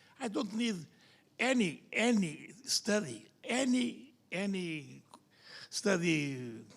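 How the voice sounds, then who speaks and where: Delivered at a very slow pace with lively intonation, the voice carries audible room echo. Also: man, high pitch for a man. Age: older. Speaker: liver surgeon. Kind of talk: conference discussion. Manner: animated.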